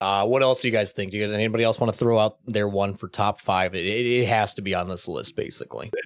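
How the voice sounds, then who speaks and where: Speaking very fast with an American accent, a man holds a fairly low pitch in a monotone, flat intonation. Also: dry, close sound with no echo, very clean recording, silent background. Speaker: podcast host and streamer. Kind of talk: casual chat. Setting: live stream.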